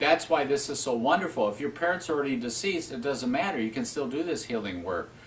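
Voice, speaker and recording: Here is a man with a fairly high pitch and lively intonation. He has a normal speaking voice. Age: 60s. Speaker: spiritual teacher. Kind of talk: talk on spiritual self-help.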